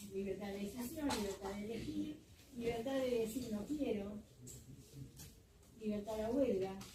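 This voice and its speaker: Moderate pace and fairly high pitch from a woman, amid noticeable background noise and audible room echo. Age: 80s+. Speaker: seminar participant, lawyer. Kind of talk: seminar remarks.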